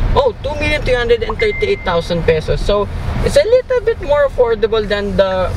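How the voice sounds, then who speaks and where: At a moderate pace, a man speaks with a dry sound and no echo, while background noise stays noticeable. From Philippines. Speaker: car reviewer. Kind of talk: car review while driving. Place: car. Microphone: phone near.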